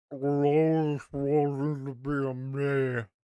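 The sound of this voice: A man puts on a character voice with a fairly high pitch. He speaks at a fairly slow pace in a monotone, flat intonation.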